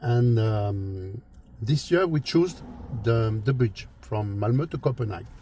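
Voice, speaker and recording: A man's medium-pitched, somewhat breathy voice with a French accent, dark and mellow in tone, with lively intonation and a fairly slow pace. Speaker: travel and car vlogger. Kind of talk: casual travel vlog talk. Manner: halting, many fillers and repetitions.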